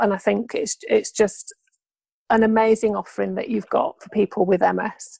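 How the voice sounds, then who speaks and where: The sound is dry and close, with no echo. A woman talks with a British accent. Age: 40s. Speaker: podcast host living with MS. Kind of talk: interview.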